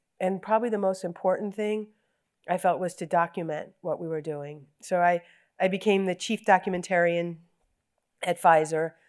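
A woman speaks at a moderate pace in a normal speaking voice, her pitch medium and her intonation fairly even. The recording is very clean, with a silent background. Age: 60s. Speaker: corporate communications executive. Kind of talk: onstage interview. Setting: stage with audience.

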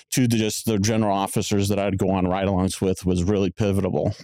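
In a very clean recording with a silent background, a man with an American accent speaks at a fairly quick pace. His fairly low, dark, mellow voice has monotone, flat intonation. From Tempe, Arizona. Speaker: police community responder. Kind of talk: interview.

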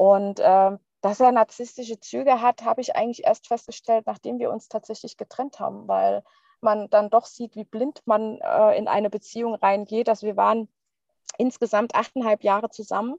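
In an ordinary speaking voice, a woman talks at a fairly high pitch and a moderate pace. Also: ordinary pitch variation. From Palatinate, Germany. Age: 30s. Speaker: divorcee sharing personal story. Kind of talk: interview testimony.

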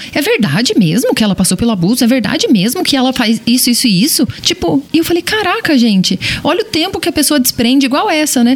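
Over noticeable background noise, a woman with a high voice talks very fast with hardly any pauses, very wide pitch swings and very even loudness. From small-town Brazil. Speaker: podcast host. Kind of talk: casual chat.

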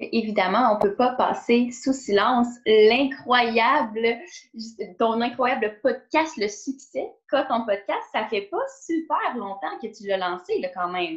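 A woman with a Quebec accent speaks very slowly at a high pitch, her intonation lively. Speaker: podcast host and fitness trainer. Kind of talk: casual interview conversation.

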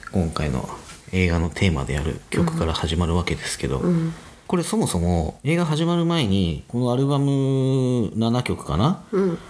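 Over noticeable background noise, a man at a medium pitch speaks at a moderate pace, his pitch swinging very widely. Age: 40s. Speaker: web director. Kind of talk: casual chat.

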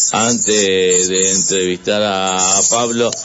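Audible room echo on a man's speech, its pitch varying in an ordinary way. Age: 50s. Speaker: radio host. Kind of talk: casual chat. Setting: studio. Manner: halting.

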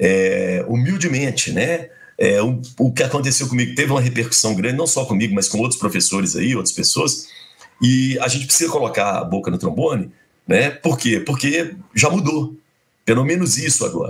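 This man has a normal speaking voice of medium pitch, talking at a moderate pace with lively intonation. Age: 50s. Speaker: university professor and radio broadcaster. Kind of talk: casual interview, storytelling.

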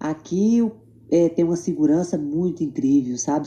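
A woman talks at a moderate pace in a fairly low pitch. Her dark, mellow tone moves through very wide pitch swings. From Tocantins, Brazil. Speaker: makeup artist. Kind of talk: interview.

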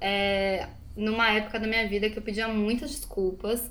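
This woman's voice sits fairly high, and her pace is moderate. The room echo is audible. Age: 20s. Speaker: podcast co-host. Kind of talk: casual chat. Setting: recording at home.

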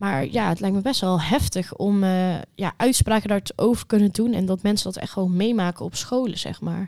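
A woman speaks at medium pitch in a dark, mellow tone with hardly any pauses. The recording is very clean, with a silent background. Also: ordinary pitch variation, moderate pace. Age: 20s. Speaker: social work student, podcast co-host. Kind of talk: casual chat.

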